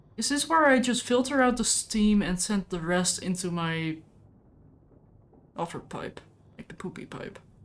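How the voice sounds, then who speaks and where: A woman with a non-native accent speaks at a moderate pace with lively intonation, big swings in loudness and long, frequent pauses. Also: medium pitch for a woman. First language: not English. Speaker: gaming streamer. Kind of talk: casual gameplay chat. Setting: live stream.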